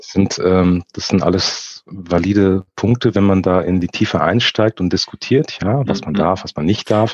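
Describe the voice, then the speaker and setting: At a fairly slow pace and with hardly any pauses, a man talks in a very deep, low voice with ordinary pitch variation, recorded dry and close with no echo. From Frankfurt, Germany. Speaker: photographer. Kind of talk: casual interview. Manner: halting, many fillers.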